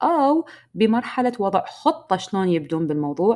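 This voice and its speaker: A woman's dark, mellow tone in a very clean recording with a silent background. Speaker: podcast host and business coach. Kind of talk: solo podcast monologue.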